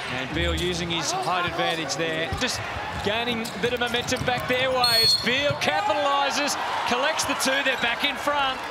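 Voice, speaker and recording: The speech moves at a moderate pace, and the sound is dry with no echo despite loud background noise. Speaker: basketball commentator. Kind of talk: live sports commentary. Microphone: headset.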